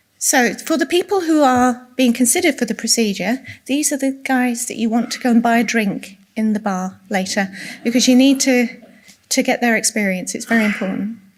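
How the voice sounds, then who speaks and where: With an English accent, a woman talks at a fairly quick pace in a high voice. Her pitch variation is ordinary. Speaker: clinical nurse specialist giving a talk. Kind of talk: presentation to patient audience. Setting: room with live audience. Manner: soft-spoken.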